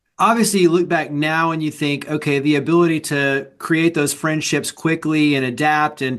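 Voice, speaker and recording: With a normal speaking voice, a man talks at a moderate pace and fairly high pitch, using fairly even intonation and hardly any pauses. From Texas. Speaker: podcast host. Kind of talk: interview podcast.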